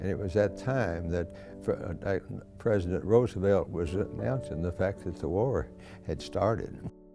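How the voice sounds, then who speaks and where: Over music in the background, a man with an American accent speaks in a very deep, low pitch with lively intonation. He goes at a fairly slow pace with long, frequent pauses. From Kentucky, USA. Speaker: WWII veteran. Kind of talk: interview answer, recalling memories.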